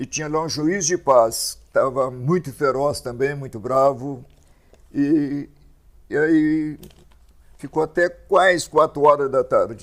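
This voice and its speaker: Long, frequent pauses break up a man's very slow speech, which sits at a fairly high pitch with fairly even intonation. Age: 80s+. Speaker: pastor. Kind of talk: testimony.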